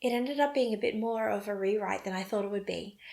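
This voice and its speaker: A woman of medium pitch with an Australian accent, fairly quick in pace, with ordinary pitch variation. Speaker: knitting podcaster. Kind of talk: casual vlog talk.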